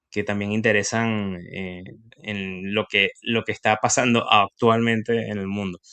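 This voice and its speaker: A man with a Venezuelan accent talks fairly slowly in a fairly low, bright, sharp, monotone voice against a quiet background. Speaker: industrial engineer and investing youtuber. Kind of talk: casual interview.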